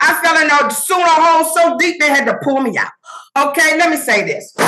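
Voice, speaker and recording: A woman with an extremely high pitch speaks in a raised, projected voice, with an animated, energetic tone and ordinary pitch variation. Her pace is fairly quick, and there is noticeable background noise. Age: 60s. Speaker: summit speaker, AI content creator. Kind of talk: motivational presentation.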